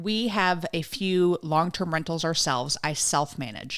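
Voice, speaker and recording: A woman's normal speaking voice at a fairly low pitch, on a very clean recording with a silent background. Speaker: real estate investor, podcast host. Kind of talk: podcast interview host.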